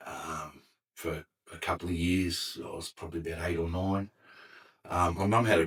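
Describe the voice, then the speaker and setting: A man with an Australian accent, a very deep, low pitch, fairly even intonation and a moderate pace. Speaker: podcast guest, former firefighter. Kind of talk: casual interview chat. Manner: loud.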